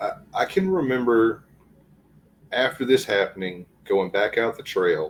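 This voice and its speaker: Long, frequent pauses break up the speech of a man with a Southern accent. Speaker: guest sharing encounters. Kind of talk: casual interview, personal testimony.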